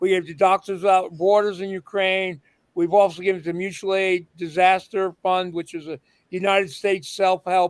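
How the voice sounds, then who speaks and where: Recorded with a dry, close sound and no echo, a man with a high voice speaks at a fairly slow pace. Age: 60s. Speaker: punk musician and activist. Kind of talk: casual interview chat. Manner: halting, many fillers.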